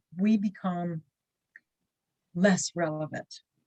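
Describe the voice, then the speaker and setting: A woman talks at a very slow pace in a somewhat breathy voice with lively intonation. The sound is dry and close, with no echo. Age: 60s. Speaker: business networking leader, writer on aging. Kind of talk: short talk on a problem.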